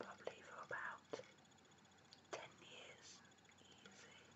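A woman whispering at a fairly slow pace. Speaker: ASMR artist. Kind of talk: ASMR whisper video. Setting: home recording at night with basic microphone. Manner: whispered, soft-spoken. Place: home room. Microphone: webcam.

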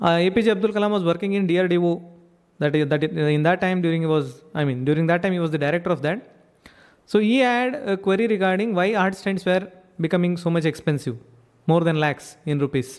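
Over a quiet background, a man with a high pitch talks at a fairly quick pace, keeping very even loudness and ordinary pitch variation. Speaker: ayurveda physician educator. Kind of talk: lecture. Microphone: studio mic.

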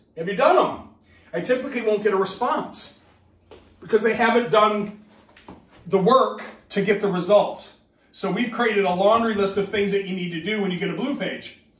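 A man's high voice at a moderate pace, with ordinary pitch variation and audible room echo. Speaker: business trainer. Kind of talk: training talk. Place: home room. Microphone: camera far.

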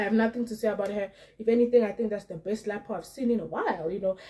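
A woman's somewhat breathy, dark, mellow tone with fairly even intonation. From South Africa. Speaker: YouTuber commenting on celebrity gossip. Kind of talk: casual vlog commentary. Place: home room.

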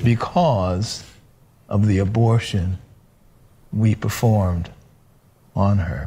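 His tone dark and mellow, a man speaks with a fairly low, somewhat breathy voice and ordinary pitch variation. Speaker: physician; panelist. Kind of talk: panel testimony. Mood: sober, confessional. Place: studio.

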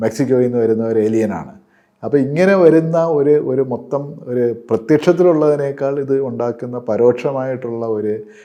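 This man has a dark, mellow tone at a medium pitch, with ordinary pitch variation. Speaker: news commentator. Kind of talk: panel discussion. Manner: halting.

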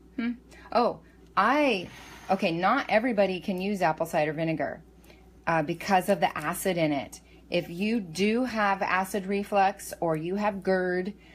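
A woman at a moderate pace, with ordinary pitch variation. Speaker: home meal prep vlogger. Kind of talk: casual tutorial chat. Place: kitchen. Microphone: phone near.

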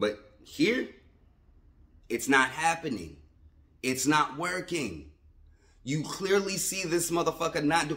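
A man talks at a fairly slow pace with a fairly high pitch, a bright, sharp tone and some vocal fry. His pitch varies in an ordinary way, and long pauses come often. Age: 30s. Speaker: sports fan vlogger. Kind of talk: casual rant. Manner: animated. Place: home room. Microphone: phone near.

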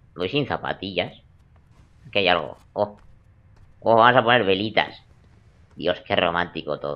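Taking long, frequent pauses, a man speaks at a fairly slow pace in a fairly low pitch with ordinary pitch variation. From Spain. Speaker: gaming youtuber. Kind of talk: let's play commentary. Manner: animated. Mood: joking, playful. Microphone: headset.

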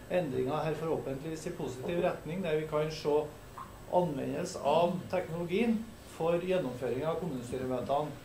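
A man speaks at a moderate pace with ordinary pitch variation, light background noise and audible room echo. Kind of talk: formal meeting opening remarks. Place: meeting room.

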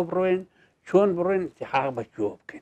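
Against a quiet background, a man with a fairly high pitch speaks at a moderate pace in a dark, mellow tone with lively intonation. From Iraqi Kurdistan, Darbandikhan area; Iraqi Kurdistan. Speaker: teacher recounting his life story. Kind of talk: interview, life-story recollection. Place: studio. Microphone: lapel.

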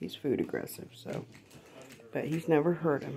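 A woman whispers at a fairly slow pace, with vocal fry. Light background noise sits behind her. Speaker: cat owner. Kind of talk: casual home video narration. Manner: whispered. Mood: affectionate, tender. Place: home room. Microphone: phone near.

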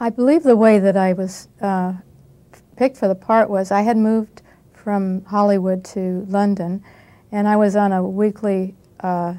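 A woman's dark, mellow tone at a moderate pace, her intonation fairly even. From United States. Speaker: actress. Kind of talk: interview answer. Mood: modest, reflective. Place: studio. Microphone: lapel.

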